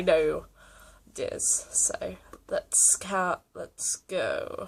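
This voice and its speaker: Here is a woman talking. She speaks with an East Midlands accent. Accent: English Midlands (East Midlands, 'my ducks'). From England. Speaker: YouTuber reacting to videos. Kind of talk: casual reaction commentary. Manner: casual, chatty.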